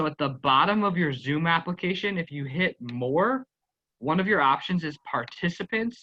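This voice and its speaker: The voice carries an American accent, a bright, sharp tone and lively intonation, in a dry, close sound with no echo. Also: man, high pitch for a man. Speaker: teacher leading a training session. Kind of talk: online workshop instruction. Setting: video call. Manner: fast.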